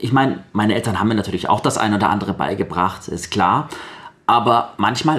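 A man's fairly quick speech comes out somewhat breathy. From Baden-Württemberg, Sindelfingen. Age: 30s. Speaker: blind guest, trained voice speaker. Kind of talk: radio interview.

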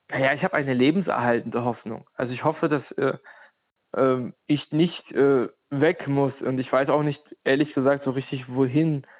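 In a plain, everyday voice, a man speaks at a moderate pace, fairly high in pitch, with fairly even intonation. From Ukraine. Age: 30s. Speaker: anti-discrimination worker and activist. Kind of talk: interview.

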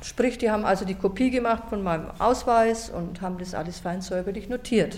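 A woman with a normal speaking voice, medium pitch and moderate pace. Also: ordinary pitch variation. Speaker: retired teacher. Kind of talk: interview testimony. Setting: recorded interview in Nürnberg.

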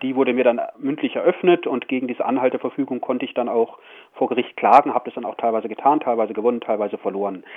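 A man talks at a very fast pace and a medium pitch. His pitch varies in an ordinary way, with noticeable background noise behind him. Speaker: radio host. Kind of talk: radio interview. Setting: phone call from prison. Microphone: prison phone line.

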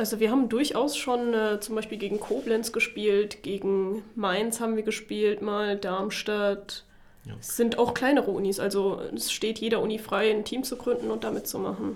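The woman's fairly high voice runs at a moderate pace with hardly any pauses and a monotone, flat intonation. Noticeable background noise sits underneath. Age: 20s. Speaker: student PR manager. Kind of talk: interview. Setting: studio.

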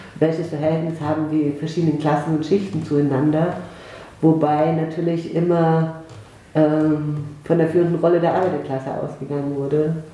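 A woman speaks in a very deep, low voice with a flat, monotone delivery at a moderate pace. The room echoes audibly, and there is noticeable background noise. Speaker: sociology professor. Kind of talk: interview.

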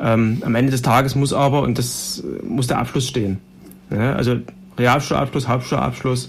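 A man with a plain, everyday voice talks at a fairly quick pace in a medium pitch with fairly even intonation. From Saxony, Germany (Heidenau). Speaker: politician, party education spokesman. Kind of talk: panel discussion. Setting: studio.

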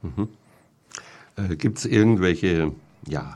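A man talks with ordinary pitch variation. His tone is dark and mellow. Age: 60s. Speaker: radio host. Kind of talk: casual chat. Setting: studio.

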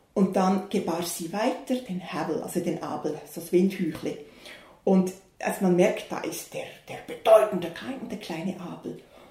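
Against noticeable background noise and audible room echo, a woman talks at a fairly slow pace in a medium pitch. Her loudness swings widely. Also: ordinary pitch variation. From Switzerland, Bern. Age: 60s. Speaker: pastor. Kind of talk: interview.

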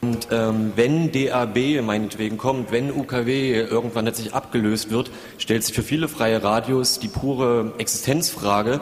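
A man's medium-pitched voice at a very slow pace, fairly even in intonation, over noticeable background noise. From Saxony, Leipzig. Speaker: community radio volunteer. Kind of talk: audience comment.

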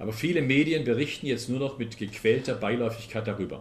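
Amid audible room echo, a man with a somewhat breathy, medium-pitched voice speaks at a fairly quick pace. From Swabia, southern Germany. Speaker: politician and transport expert. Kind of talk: public lecture. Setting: town hall talk with audience.

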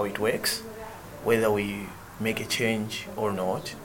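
Audible room echo and noticeable background noise around a man's fairly low voice. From central Malawi. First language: Chichewa. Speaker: theatre director. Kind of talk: casual interview conversation. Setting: in Graz, Austria on tour.

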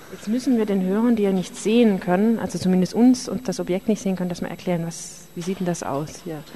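A woman with a medium pitch and ordinary pitch variation talks very fast amid noticeable background noise. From Tübingen, Swabia. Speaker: community radio reporter. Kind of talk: street interviews and narrated reportage. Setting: outdoors on city streets and in a club. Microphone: wind noise, poor sound quality.

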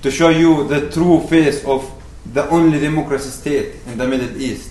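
A man speaks at a moderate pace in a Palestinian accent. Background noise is noticeable. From Palestine, West Bank. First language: Arabic. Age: 20s. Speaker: activist speaker. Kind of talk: rally-style speech to an audience, mixed with narrating a video. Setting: lecture hall with audience. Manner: earnest, impassioned, appealing; halting, repeats words.

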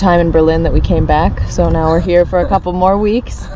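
Against noticeable background noise, a woman with an American accent speaks at a fairly quick pace. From US South, Richmond, Virginia. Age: 20s. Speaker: activist. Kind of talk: interview.

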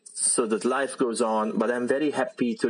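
Noticeable background noise sits behind a man who talks at a moderate pace. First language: Italian (speaking German). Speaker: freelancer. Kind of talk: interview testimony.

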